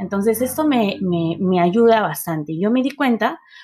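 Speaking at a fairly slow pace, a woman with a fairly high pitch and a dark, mellow tone uses lively intonation on a very clean recording with a silent background. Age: 30s. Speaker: podcast host, marketer and entrepreneur. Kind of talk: solo podcast monologue.

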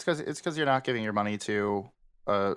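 A man is speaking. His pitch sits fairly low. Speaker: streamer guest. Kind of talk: casual chat. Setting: video call. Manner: flat, not showing excitement in voice.

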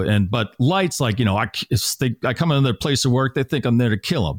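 A man with an American accent has an unremarkable speaking voice at a medium pitch. He talks at a fairly quick pace with lively intonation, in a dry, close sound with no echo. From Massachusetts (Natick). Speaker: radio morning show host. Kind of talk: casual chat.

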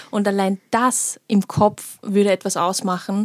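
With a dark, mellow tone at medium pitch, a woman speaks with fairly even intonation in a dry, close sound with no echo. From Vienna, Austria. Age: 20s. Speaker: political scientist. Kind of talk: casual chat.

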